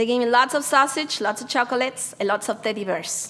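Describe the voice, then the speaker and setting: A woman with a high pitch talks fairly quickly, with noticeable background noise behind her. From Mexico. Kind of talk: conference presentation.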